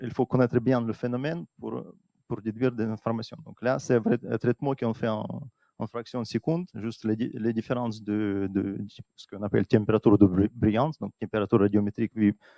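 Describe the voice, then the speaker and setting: A dark, mellow tone at a fairly quick pace, with ordinary pitch variation, big swings in loudness and a dry, close sound with no echo. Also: man, medium pitch for a man. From Russia. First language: Russian (speaking French). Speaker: atmospheric scientist. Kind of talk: conference talk. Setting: stage with audience. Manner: halting.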